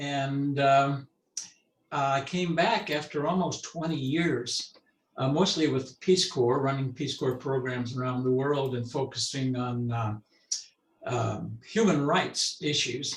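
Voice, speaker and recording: At a very slow pace, a man talks in a fairly high, somewhat breathy voice with ordinary pitch variation. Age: 80s+. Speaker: right-to-die activist. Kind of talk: panel discussion.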